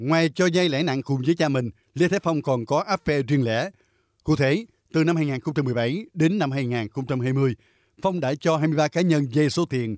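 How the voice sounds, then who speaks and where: The recording is very clean with a silent background and a dry, close sound with no echo. A man with an unremarkable speaking voice talks fairly slowly at a fairly high pitch, with ordinary pitch variation. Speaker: news narrator. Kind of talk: news reading.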